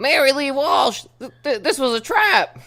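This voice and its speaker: Using a put-on character voice, a man projects at an extremely high pitch and a moderate pace. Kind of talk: comic overacting. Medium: read story.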